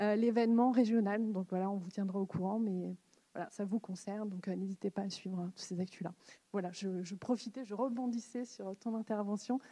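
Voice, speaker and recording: Fairly even intonation marks this somewhat breathy voice, whose tone is dark and mellow. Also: woman, medium pitch for a woman. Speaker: conference co-host. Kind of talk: event announcement. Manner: fast.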